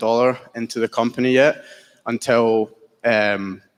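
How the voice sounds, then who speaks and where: A man speaks in a Scottish accent. His intonation is monotone and flat. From Scotland. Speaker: entrepreneur pitching a startup. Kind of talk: business pitch Q&A.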